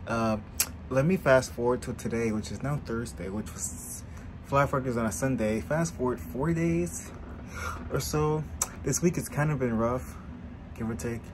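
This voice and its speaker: Amid noticeable background noise, a man speaks at a moderate pace with very wide pitch swings and long, frequent pauses. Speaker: vlogger. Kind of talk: casual vlog chat. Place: home room. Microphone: phone near.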